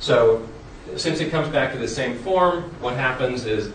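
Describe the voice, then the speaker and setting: A man's speech comes with audible room echo, and noticeable background noise is present too. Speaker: conference presenter on software development. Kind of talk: technical presentation. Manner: hesitant with fillers.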